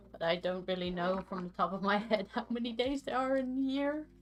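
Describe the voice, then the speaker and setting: A woman speaks at a moderate pace with lively intonation and a fairly high pitch, music playing in the background. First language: Dutch. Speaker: streamer coding an LED matrix. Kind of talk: casual chat. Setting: live stream.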